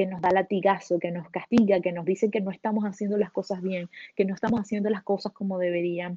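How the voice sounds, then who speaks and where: A woman's somewhat breathy, medium-pitched voice in a flat monotone. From Venezuela. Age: 30s. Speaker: solo traveler and entrepreneur. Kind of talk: interview.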